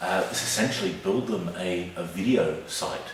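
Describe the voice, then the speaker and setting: A man speaks quietly with a fairly low pitch and ordinary pitch variation, amid audible room echo and noticeable background noise. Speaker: video marketing consultant. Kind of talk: casual video walkthrough. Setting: client's office studio.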